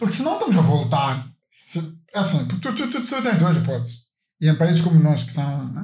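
Long, frequent pauses break up a man's fairly high voice, which swings very widely in pitch amid audible room echo. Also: moderate pace. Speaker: podcast co-host. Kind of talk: casual chat.

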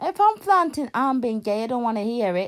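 The delivery moves at a fairly slow pace with big pitch swings. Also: woman.

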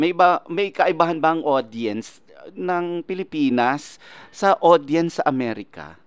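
Here a man talks with a high voice and lively intonation. His pace is moderate. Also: dry, close sound with no echo. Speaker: showbiz podcast host. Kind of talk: interview.

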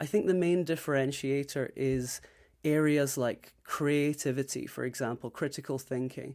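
Man with a Scottish accent, fairly high pitch and fairly even intonation at a moderate pace, on a very clean recording with a silent background. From Scotland. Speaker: recruiter. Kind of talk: interview.

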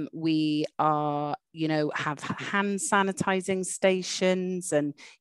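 Speaking with a Welsh accent, a woman has a fairly low pitch. The sound is dry and close with no echo, in a very clean recording with a silent background. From Wales. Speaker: university dean. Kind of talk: interview. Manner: animated.

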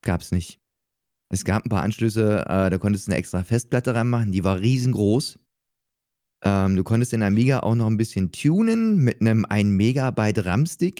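A man's fairly low, dark, mellow voice with ordinary pitch variation and very even loudness, at a moderate pace, in a very clean recording with a silent background. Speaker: Twitch streamer and rock musician. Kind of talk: casual chat.

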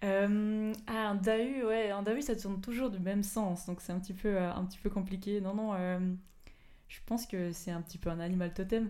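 A woman with a dark, mellow tone and medium pitch speaks at a moderate pace with fairly even intonation and audible room echo. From Switzerland, Fribourg area. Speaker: sports scientist and mountain runner. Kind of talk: interview.

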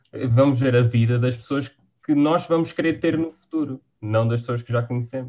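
Here a man with a European Portuguese accent talks at a moderate pace and medium pitch. His tone is dark and mellow, and his pitch varies in an ordinary way. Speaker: university student. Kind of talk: casual chat.

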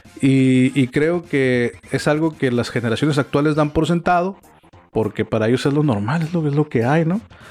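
Music plays in the background as a man speaks at a moderate pace. His voice is fairly high, with ordinary pitch variation and very even loudness. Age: 40s. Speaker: podcast host. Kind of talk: casual chat. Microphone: equipment sometimes sounds bad.

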